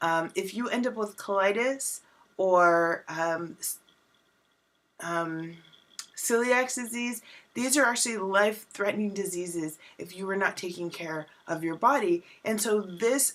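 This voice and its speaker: At a fairly slow pace, an ordinary speaking voice moves with ordinary pitch variation. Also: woman. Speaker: wellness coach. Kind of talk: vlog tutorial.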